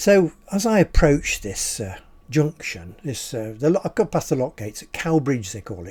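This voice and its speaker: A man speaks at a moderate pace in a fairly high, somewhat breathy voice with very wide pitch swings and big swings in loudness. The recording is very clean, with a silent background. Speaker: storyteller. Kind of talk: unscripted personal anecdote told to camera. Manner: casual, ad lib, with hesitations.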